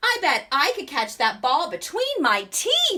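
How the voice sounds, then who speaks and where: A woman uses a put-on character voice, raised and projected at an extremely high pitch. She speaks fairly slowly, with very wide pitch swings. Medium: read story. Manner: friendly.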